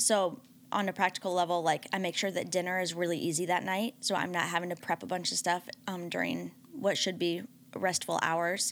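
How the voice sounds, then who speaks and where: Heard in a very clean recording with a silent background, a plain, everyday voice talks at a moderate pace with fairly even intonation. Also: woman, fairly low pitch for a woman. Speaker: pastor's wife and panelist. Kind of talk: casual chat.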